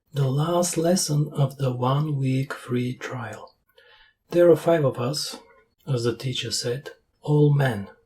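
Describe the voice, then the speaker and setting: At a very slow pace, a man speaks in a fairly high, somewhat breathy voice with a dark, mellow tone. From Bulgaria, Sofia. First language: Bulgarian. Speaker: language learning youtuber, reviewer. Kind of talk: sarcastic review voiceover. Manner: deadpan, sarcastic.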